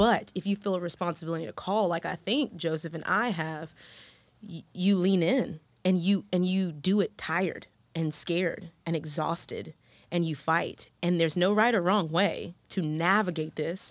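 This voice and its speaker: A woman with an American accent and a fairly low pitch, at a moderate pace, on a very clean recording with a silent background. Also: ordinary pitch variation. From Houston, Texas. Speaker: guest, parent. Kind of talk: panel discussion. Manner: animated.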